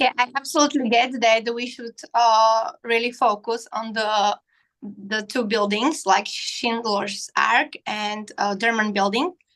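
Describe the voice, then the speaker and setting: A woman with a non-native accent, fairly high pitch, fairly even intonation and a fairly slow pace, over a quiet background. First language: not English. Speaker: architecture student. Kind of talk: question at live Q&A. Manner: halting.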